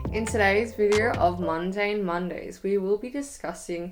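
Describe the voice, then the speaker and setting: A woman speaks with an Australian accent. Her pitch varies in an ordinary way. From Melbourne, Australia. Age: young. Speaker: YouTuber. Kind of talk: casual talk to camera.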